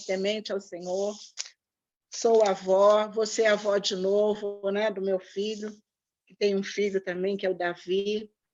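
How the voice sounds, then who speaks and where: A woman speaks fairly slowly in a medium pitch. Her intonation stays monotone and flat. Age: 60s. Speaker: pastor. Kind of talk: online talk. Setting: video call.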